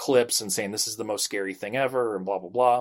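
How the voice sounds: What you hear is a natural reading voice.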